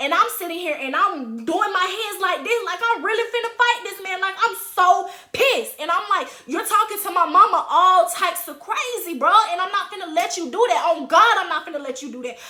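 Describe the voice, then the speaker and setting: In a raised, projected voice at an extremely high pitch, a woman speaks at a fairly quick pace with hardly any pauses, her animated tone and lively intonation marked by big swings in loudness. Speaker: YouTuber telling personal stories. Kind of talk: storytime monologue.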